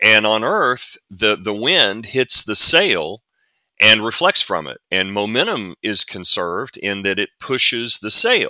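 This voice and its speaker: Here a man speaks with a Southern US accent. The recording is very clean and the background silent, with a dry, close sound and no echo. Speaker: NASA physicist and author. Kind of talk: casual interview.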